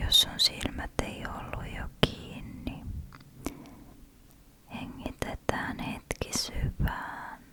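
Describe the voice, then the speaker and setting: A whispered, soothing voice moves at a very slow pace with long, frequent pauses and big swings in loudness over noticeable background noise. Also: woman. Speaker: ASMR creator. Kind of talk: ASMR relaxation whisper talk. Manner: whispered, slow, soothing.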